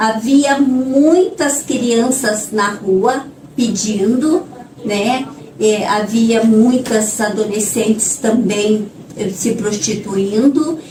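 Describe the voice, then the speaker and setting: Over noticeable background noise and audible room echo, a woman speaks at a very slow pace, fairly high in pitch with ordinary pitch variation. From northern Paraná, Brazil. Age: 60s. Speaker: nun, social project leader. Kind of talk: interview. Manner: halting, with filler words.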